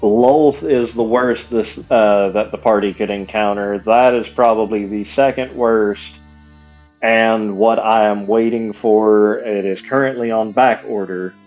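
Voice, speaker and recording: With music in the background, the speech moves at a fairly slow pace with fairly even intonation. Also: man, medium pitch for a man. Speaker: miniature painter streamer. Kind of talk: casual livestream chat.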